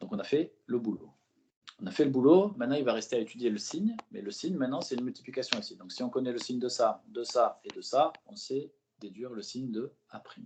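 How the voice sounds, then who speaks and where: A man at medium pitch, fairly quick, with big swings in loudness. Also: lively intonation. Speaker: math tutor. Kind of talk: tutoring lesson. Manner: fast; relaxed, encouraging.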